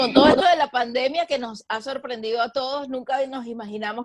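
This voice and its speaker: Using a normal speaking voice, a woman talks with ordinary pitch variation. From Venezuela. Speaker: sports journalist and broadcaster. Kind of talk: interview answer.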